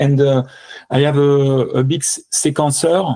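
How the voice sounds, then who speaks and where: A man's dark, mellow voice, fairly high in pitch, with a French accent. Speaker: electronic music composer and performer. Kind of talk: interview. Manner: halting.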